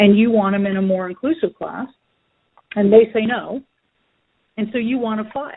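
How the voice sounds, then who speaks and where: A woman speaks at a moderate pace in a fairly high voice, her pitch varying in an ordinary way. Her loudness swings widely, and she leaves long, frequent pauses. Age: 60s. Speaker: special education lawyer. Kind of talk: interview.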